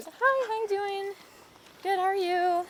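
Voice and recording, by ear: An extremely high, put-on character voice comes through over clear background noise. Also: fairly slow pace.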